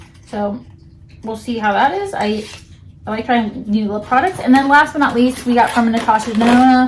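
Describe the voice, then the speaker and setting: A woman talks at a fairly quick pace with a fairly high pitch and ordinary pitch variation. Noticeable background noise sits behind her. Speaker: beauty vlogger. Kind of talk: product unboxing review. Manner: fast.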